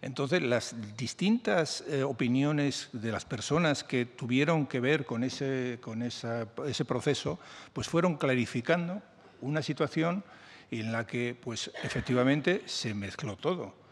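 The man speaks at a fairly slow pace with ordinary pitch variation. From Spain. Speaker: journalist and book author; journalist. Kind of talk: interview at a book presentation. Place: meeting room. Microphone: podium.

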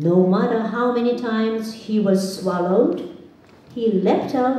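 Someone reads words off a page. It is plain reading aloud.

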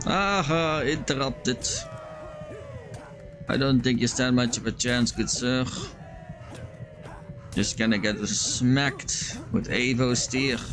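Music plays in the background as a man talks at a very slow pace. He leaves long, frequent pauses. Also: ordinary pitch variation. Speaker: vtuber. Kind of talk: gaming let's play commentary. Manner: calm, chill.

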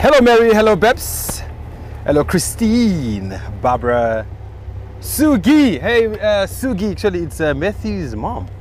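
The man speaks at a fairly slow pace. The sound is dry with no echo, with light background noise. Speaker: safari guide driving. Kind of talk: live-stream commentary and greetings to viewers. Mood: cheerful, relaxed. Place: car.

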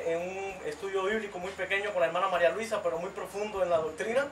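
A man's high voice at a very fast pace, with audible room echo and light background noise. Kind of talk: religious testimony. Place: home room.

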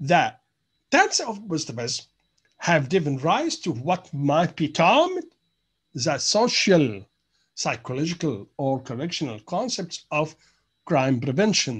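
Against a quiet background, a man with an ordinary speaking voice talks fairly slowly at a fairly high pitch with lively intonation. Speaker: university lecturer. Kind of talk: lecture.

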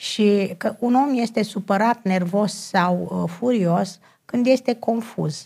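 A woman speaks very slowly in a somewhat breathy voice, her intonation lively. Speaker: personal development counselor. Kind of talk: TV talk show interview. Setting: TV studio.

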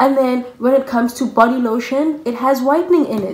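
Noticeable background noise surrounds a woman with a South African accent. Her voice is high-pitched and animated, at a moderate pace. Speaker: YouTuber. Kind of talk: casual vlog.

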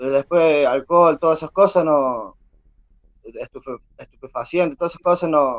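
Over a quiet background with a dry sound and no echo, a man with a fairly high pitch talks at a moderate pace, his loudness swinging widely while his pitch varies in an ordinary way. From Argentina, San Luis province. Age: 20s. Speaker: aspiring reality show contestant, father. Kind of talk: interview, personal testimony. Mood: earnest, confessional.

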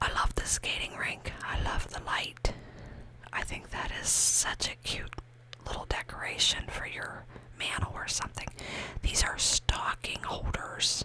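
Whispering at a fairly slow pace, a woman sounds breathy over noticeable background noise. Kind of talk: ASMR shop-with-me ramble to camera. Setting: shop. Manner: breathy whisper, soft-spoken.

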